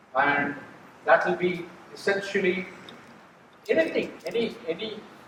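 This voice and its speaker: A man with an Indian accent and a high pitch at a fairly slow pace, with noticeable background noise and audible room echo. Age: 70s. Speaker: NGO executive. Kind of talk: speech to staff. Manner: halting.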